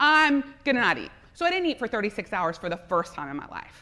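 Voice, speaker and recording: Over noticeable background noise, a woman with an American accent projects a raised, high voice at a moderate pace, animated in tone with very wide pitch swings. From US South, South Louisiana. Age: 40s. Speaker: entrepreneur and speaker. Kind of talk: conference talk. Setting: stage with audience.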